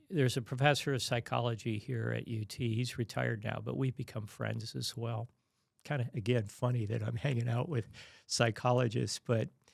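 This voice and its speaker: A man's somewhat breathy voice comes through on a very clean recording against a silent background. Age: 60s. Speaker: retired engineer, podcast guest. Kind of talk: interview, personal testimony about grief. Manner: halting, many fillers and repetitions.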